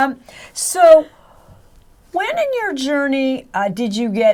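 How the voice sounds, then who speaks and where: Very wide pitch swings from a woman, with noticeable background noise. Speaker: interviewer, show host. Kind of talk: interview questions.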